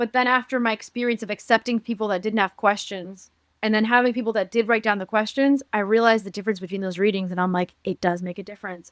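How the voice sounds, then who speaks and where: A woman at a very fast pace with hardly any pauses, fairly high in pitch with fairly even intonation, in a dry, close sound with no echo on a very clean recording with a silent background. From Uruguay. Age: 40s. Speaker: spiritual reader and teacher. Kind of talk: podcast interview.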